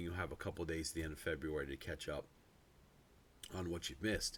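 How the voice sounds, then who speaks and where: A man talks at a very fast pace with a very deep, low pitch and vocal fry. His tone is bright and sharp, his intonation fairly even. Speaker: pastor. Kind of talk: devotional talk. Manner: halting, many fillers.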